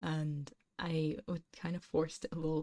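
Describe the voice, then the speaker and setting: A woman speaks with a fairly low pitch and a dark, mellow tone that is somewhat breathy. The sound is dry and close, with no echo. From England, not the south. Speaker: ASMR streamer, vtuber. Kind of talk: casual chat on ASMR livestream. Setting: livestream. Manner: soft-spoken.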